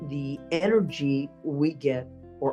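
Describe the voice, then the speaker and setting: Against music in the background, a woman with a very deep, low pitch speaks with lively intonation. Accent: American. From Texas. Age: 60s. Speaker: public speaking champion. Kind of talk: interview answer.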